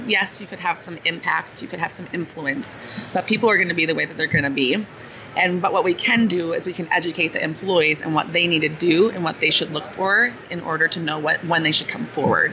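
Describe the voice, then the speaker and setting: A woman's fairly low voice with an American accent, ordinary pitch variation and noticeable background noise. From US Midwest, Wisconsin. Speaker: startup CEO. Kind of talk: interview. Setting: conference floor.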